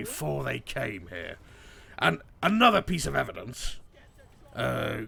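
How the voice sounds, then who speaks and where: A put-on character voice from a man, medium in pitch, at a fairly slow pace. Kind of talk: in-character game stream banter.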